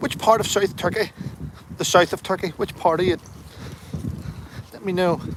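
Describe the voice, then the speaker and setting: A high-pitched man with a Northern Irish accent at a moderate pace, fairly even intonation, long, frequent pauses and noticeable background noise. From Northern Ireland, Derry. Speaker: livestreamer, army veteran. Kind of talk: casual live-stream chat reading comments. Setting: outdoors, walking.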